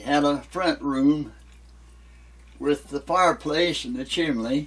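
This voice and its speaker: A man with an Appalachian accent speaks at a very slow pace with fairly high pitch and big swings in loudness. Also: ordinary pitch variation. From West Virginia. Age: 90s. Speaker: elderly local resident. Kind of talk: interview.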